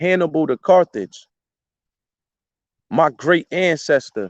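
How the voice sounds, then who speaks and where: The sound is dry and close with no echo as a man with a fairly high pitch speaks at a fairly slow pace, his intonation lively. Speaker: citizen vlogger. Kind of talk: casual monologue vlog.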